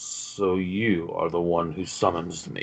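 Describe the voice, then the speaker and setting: A man uses a put-on character voice, raspy and very deep and low in pitch. He talks at a fairly slow pace. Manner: commanding.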